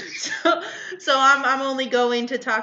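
A woman's animated tone over noticeable background noise. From Mexican-American, California. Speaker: podcast co-host. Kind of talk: casual chat.

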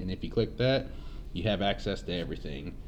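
Audible room echo surrounds a man speaking with a dark, mellow tone. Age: 20s. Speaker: podcast host. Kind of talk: casual chat.

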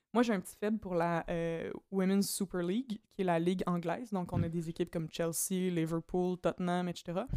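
A woman with a Quebec accent speaks at a moderate pace in a fairly low pitch. Her tone is dark and mellow, recorded dry and close with no echo. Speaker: doctoral student in political science. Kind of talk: casual chat.

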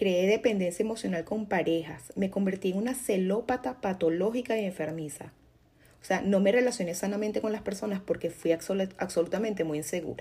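A woman's somewhat breathy voice with a dark, mellow tone, medium pitch, ordinary pitch variation and a fairly quick pace. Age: 40s. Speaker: podcast host. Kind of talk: personal monologue.

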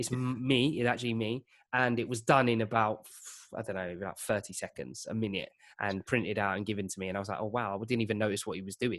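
On a very clean recording with a silent background, a man with a fairly low pitch speaks at a very fast pace in fairly even intonation. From East London / Essex outskirts. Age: 30s. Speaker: creative workshop founder. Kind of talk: casual chat. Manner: halting.

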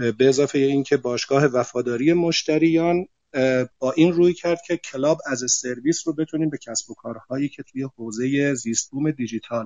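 A man's unremarkable speaking voice, fairly high in pitch, at a moderate pace with fairly even intonation. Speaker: CEO of a bank technology holding. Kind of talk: panel discussion. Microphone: connection dropped.

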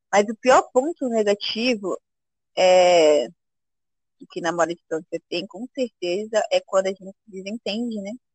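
Loudness swings widely at a fairly slow pace, in a dry, close sound with no echo. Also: woman, medium pitch for a woman. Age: 20s. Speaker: café worker, host's girlfriend. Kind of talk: casual interview.

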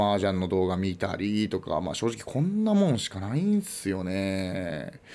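A man with an ordinary speaking voice, fairly slow pace and ordinary pitch variation. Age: 20s. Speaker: podcast host. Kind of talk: casual solo talk.

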